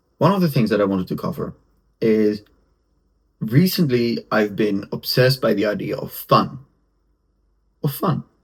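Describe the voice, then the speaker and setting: A somewhat breathy voice with lively intonation, moderate pace, and long, frequent pauses. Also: man, medium pitch for a man. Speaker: podcaster and content creator. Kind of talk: solo podcast monologue. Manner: halting, with restarts; casual. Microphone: camera's built-in mic, poor sound.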